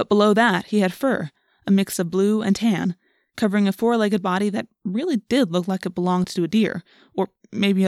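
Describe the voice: This is plain reading aloud with fairly even intonation over a quiet background.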